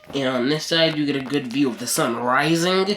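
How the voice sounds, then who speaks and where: The speech goes at a moderate pace. Beneath it sits noticeable background noise. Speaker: gaming youtuber. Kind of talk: let's play commentary. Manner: casual, halting.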